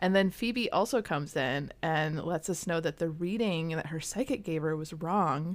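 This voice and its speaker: In a very clean recording with a silent background, a woman with an unremarkable speaking voice and fairly low pitch talks at a fairly slow pace with ordinary pitch variation. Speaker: podcast co-host. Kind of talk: casual chat.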